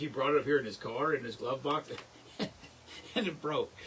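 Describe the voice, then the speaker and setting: Over noticeable background noise, a man speaks with a fairly high pitch. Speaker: livestream host. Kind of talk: casual chat. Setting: live stream. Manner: fast; animated.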